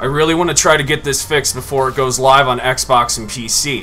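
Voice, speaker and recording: A man whose pitch is fairly high talks fairly quickly, with noticeable background noise in the recording. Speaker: gaming YouTuber. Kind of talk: gameplay commentary. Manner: loud; animated.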